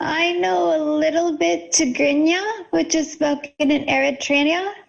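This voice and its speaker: With an American accent, a woman speaks fairly slowly at a high pitch with fairly even intonation, and room echo is audible. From California, US. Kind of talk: conference Q&A.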